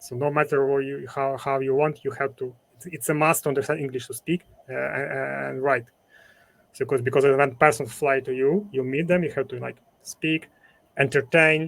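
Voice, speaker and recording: A man speaks with a Ukrainian accent at a moderate pace. His pitch is fairly high and his intonation fairly even. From Ukraine. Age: 40s. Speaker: entrepreneur, former event promoter. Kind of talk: interview conversation. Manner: halting.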